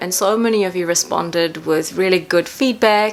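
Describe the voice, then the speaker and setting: With a New Zealand accent, a woman of medium pitch speaks at a moderate pace over noticeable background noise. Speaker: makeup artist and painter. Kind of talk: casual talk to camera.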